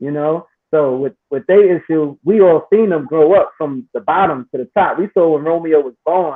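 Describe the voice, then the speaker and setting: A man with a plain, everyday voice and a fairly high pitch speaks at a moderate pace, with hardly any pauses and ordinary pitch variation. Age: 40s. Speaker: online talk show host. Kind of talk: casual panel discussion.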